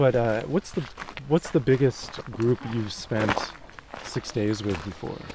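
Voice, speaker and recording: Fairly slow speech from a man at medium pitch with ordinary pitch variation, music in the background. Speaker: podcast host and writer. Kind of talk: casual interview. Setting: outdoors.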